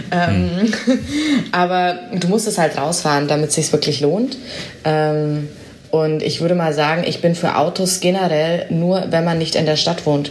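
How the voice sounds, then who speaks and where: A woman with a fairly low voice speaks at a fairly slow pace and very even loudness, with audible room echo and noticeable background noise. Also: ordinary pitch variation. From Bavaria (Augsburg). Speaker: company press spokesperson. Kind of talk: interview.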